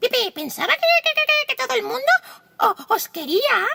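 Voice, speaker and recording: Squeaky put-on character voice at an extremely high pitch, with very wide pitch swings. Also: moderate pace. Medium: read story. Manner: stuttering, halting.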